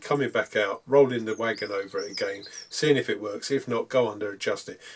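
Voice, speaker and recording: In a British accent, the man delivers his words very quickly. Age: 60s. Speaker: model railway hobbyist. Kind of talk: hobby tutorial. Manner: hesitant, frequent ums.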